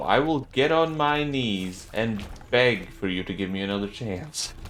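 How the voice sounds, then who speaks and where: In a non-native accent, a man with a fairly low voice speaks at a fairly slow pace with lively intonation, and audible room echo is present. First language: not English. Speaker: gaming YouTuber. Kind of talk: gameplay commentary. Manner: casual, joking.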